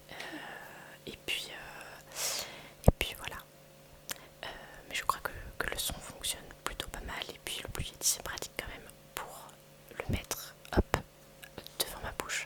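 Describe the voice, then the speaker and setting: Whispering at a fairly slow pace, a woman leaves long, frequent pauses and swings widely in loudness over noticeable background noise. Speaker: ASMR creator. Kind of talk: ASMR whispering. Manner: hesitant, many fillers.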